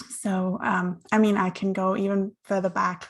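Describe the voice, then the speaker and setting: A somewhat breathy woman at a medium pitch, flat and monotone at a fairly slow pace, on a very clean recording with a silent background. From Germany, with teen years in Australia. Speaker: somatics practitioner. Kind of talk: interview conversation. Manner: reflective, with many fillers.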